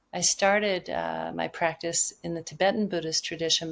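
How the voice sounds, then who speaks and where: A woman with a very deep, low pitch. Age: 60s. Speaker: mediator and Zen teacher. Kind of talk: interview conversation.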